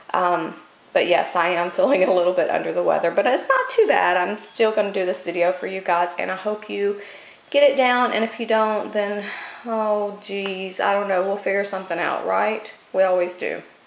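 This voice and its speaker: Over noticeable background noise and audible room echo, a woman speaks at a medium pitch and moderate pace with fairly even intonation. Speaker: craft tutorial maker. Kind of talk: tutorial. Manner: casual, chatty.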